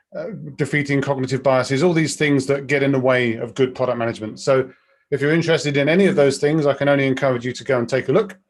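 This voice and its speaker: Using a British accent, a man talks at a very fast pace in a fairly high voice with fairly even intonation. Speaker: product director, webinar speaker. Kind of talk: webinar presentation.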